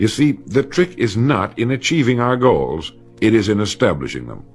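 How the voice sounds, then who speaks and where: A man's fairly low voice at a fairly quick pace, with music in the background. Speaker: motivational speaker. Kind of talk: motivational speech narration. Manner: measured, authoritative.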